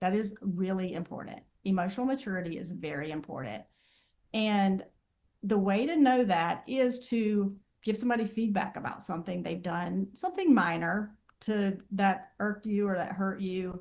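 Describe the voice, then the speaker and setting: Speaking in an ordinary speaking voice with an American accent, a woman keeps a medium pitch and ordinary pitch variation. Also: moderate pace. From Southern US. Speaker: therapist. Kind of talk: interview answer.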